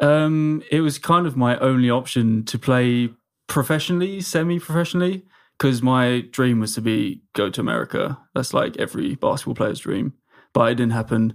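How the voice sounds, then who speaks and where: A man with an English accent at medium pitch and a moderate pace, ordinary pitch variation, on a very clean recording with a silent background. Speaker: social media comedian. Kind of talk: casual chat.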